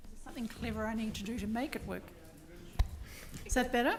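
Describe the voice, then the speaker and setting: Noticeable background noise and audible room echo accompany a woman as she speaks. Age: 60s. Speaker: former senior executive. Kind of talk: conference panel talk. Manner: conversational.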